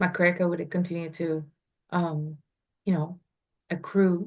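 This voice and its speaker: Delivery comes at a moderate pace. Its intonation stays monotone, flat. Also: woman. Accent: non-native. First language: not English. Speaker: real estate investor. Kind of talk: interview.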